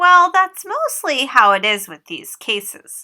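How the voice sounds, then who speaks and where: A woman puts on a squeaky character voice at an extremely high pitch, speaking at a fairly slow pace with very wide pitch swings. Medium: read story. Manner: calm, reassuring.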